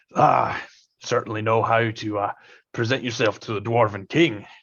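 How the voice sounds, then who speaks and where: Putting on a raspy character voice, a man talks at medium pitch and a moderate pace. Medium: actual play. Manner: brusque, hearty.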